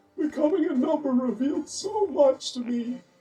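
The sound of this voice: The cartoonish character voice is high-pitched and delivered at a fairly slow pace.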